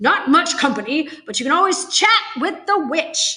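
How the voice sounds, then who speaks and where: A woman's put-on character voice, extremely high in pitch, at a moderate pace. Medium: read story. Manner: blustering, officious.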